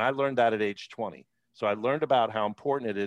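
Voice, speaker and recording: On a very clean recording with a silent background, a man's fairly low pitch moves with ordinary pitch variation in a dry, close sound with no echo. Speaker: financial planner and podcast host, former radio producer. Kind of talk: interview. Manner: hesitant, with fillers.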